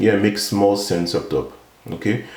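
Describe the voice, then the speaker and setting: Over noticeable background noise and audible room echo, a man with a non-native accent speaks at a moderate pace in a fairly low voice with fairly even intonation. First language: not English. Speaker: software developer, tutorial YouTuber. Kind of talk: tutorial. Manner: halting, many fillers.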